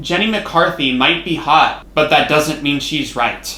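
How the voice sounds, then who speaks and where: Lively intonation marks this man's speech. Audible room echo and noticeable background noise surround him. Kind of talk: personal educational monologue. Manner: loud at times.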